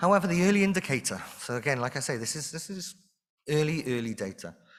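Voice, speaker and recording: A man with a Welsh accent, a fairly high pitch, lively intonation and a very fast pace. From Wales. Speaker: conference speaker, industry researcher. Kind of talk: conference presentation. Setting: stage with audience.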